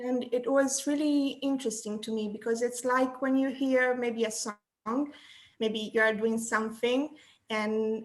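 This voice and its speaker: A woman's high-pitched voice with an Italian accent, monotone, flat intonation, and a fairly slow pace. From Italy. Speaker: graphic designer. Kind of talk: interview. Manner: halting.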